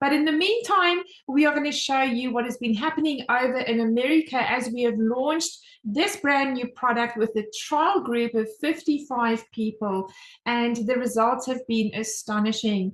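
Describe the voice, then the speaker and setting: Speaking at a moderate pace with a South African accent, a woman uses a high pitch and lively intonation. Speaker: home business mentor, presenter. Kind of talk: online sales presentation. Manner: animated.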